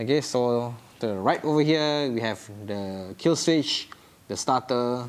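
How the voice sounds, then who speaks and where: A man talks with a Singaporean accent. His pitch shows ordinary variation. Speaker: motorcycle vlogger. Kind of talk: vehicle review vlog. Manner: animated.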